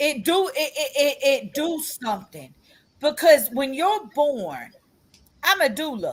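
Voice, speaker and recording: Loud and animated, a woman speaks high in pitch with very wide pitch swings, at a fairly slow pace broken by long, frequent pauses. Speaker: podcast co-host and doula. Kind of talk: casual chat. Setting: video recorded podcast. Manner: repeats words, stammering starts; loud, animated.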